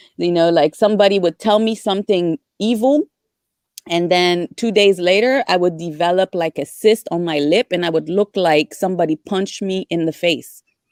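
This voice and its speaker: A woman's fairly low voice in a French accent, at a moderate pace with ordinary pitch variation, in a very clean, silent recording that is dry and close with no echo. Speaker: discussion participant. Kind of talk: casual group discussion. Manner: halting.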